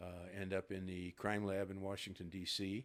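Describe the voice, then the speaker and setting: A man's very deep, low voice at a moderate pace, with an American accent. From US Midwest, Ohio near Cincinnati. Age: 70s. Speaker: retired FBI agent. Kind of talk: interview. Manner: hesitant with fillers.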